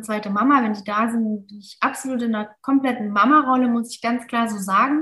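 Using a plain, everyday voice, a woman speaks at a fairly quick pace, her fairly high pitch held in fairly even intonation. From Mosel region, western Germany. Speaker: ayurveda hotel manager. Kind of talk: casual interview.

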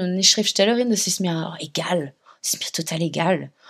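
A woman with ordinary pitch variation. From France, Paris. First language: French (speaking German). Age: 30s. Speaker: author. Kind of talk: interview. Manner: halting, many fillers.

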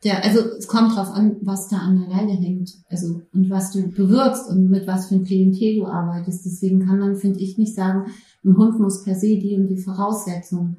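A woman talks at a moderate pace and medium pitch in a dark, mellow, somewhat breathy tone, with monotone, flat intonation and hardly any pauses. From Berlin, Germany. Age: 40s. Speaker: prison social worker with therapy dog. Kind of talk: interview. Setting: studio couch with dog present.

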